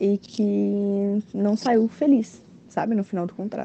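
With ordinary pitch variation, a woman talks in a medium pitch. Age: 20s. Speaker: cruise ship bar waitress. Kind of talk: recorded interview answers. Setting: aboard a cruise ship at sea.

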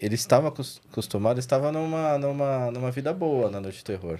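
A man with a São Paulo accent has a dark, mellow tone, a fairly high pitch and lively intonation. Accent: São Paulo Brazilian Portuguese. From São Paulo, Zona Norte, Brazil. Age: 40s. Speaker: dog trainer. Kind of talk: casual chat.

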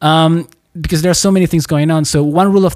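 Speaking with a Spanish accent, a man uses a fairly high pitch with ordinary pitch variation. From Chile. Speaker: podcast host. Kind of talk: interview. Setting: video call.

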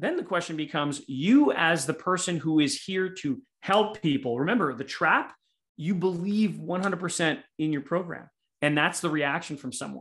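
A plain, everyday voice belongs to a man with a fairly high pitch and lively intonation. He speaks at a moderate pace against a quiet background. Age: 50s. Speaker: sales coach. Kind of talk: interview.

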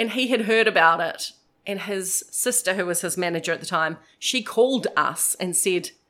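Delivered in a New Zealand accent, the speech has a bright, sharp tone and ordinary pitch variation at a moderate pace. The recording is very clean, with a silent background. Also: woman. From New Zealand, New Plymouth. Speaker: radio host. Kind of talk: casual chat.

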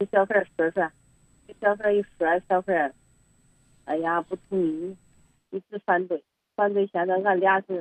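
Speaking fairly slowly in a flat monotone, a woman leaves long, frequent pauses, and the sound is dry and close with no echo. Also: medium pitch for a woman. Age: 60s. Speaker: caller to advice hotline. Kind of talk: phone-in advice call. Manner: halting, repetitive.

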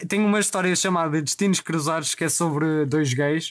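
Recorded with a dry, close sound and no echo, a man with a European Portuguese accent speaks at a fairly high pitch with fairly even intonation. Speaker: podcast host. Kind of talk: casual chat.

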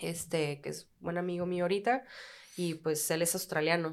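This woman has an unremarkable speaking voice, fairly low in pitch, delivered at a moderate pace. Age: 30s. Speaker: bartender. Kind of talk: casual chat.

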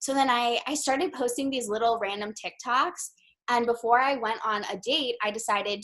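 A woman's fairly high voice at a moderate pace, a normal speaking voice. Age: 20s. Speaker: social media creator. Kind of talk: casual chat.

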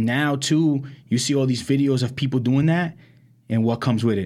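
The speaker has a New York accent. Loudness stays very even. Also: man. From Brooklyn, New York. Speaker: podcast co-host. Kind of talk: casual chat.

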